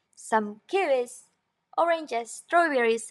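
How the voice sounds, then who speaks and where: A woman with a non-native accent speaks with lively intonation in a dry, close recording that has no echo. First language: not English. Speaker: craft and design tutorial creator. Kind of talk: tutorial. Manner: animated; casual with fillers.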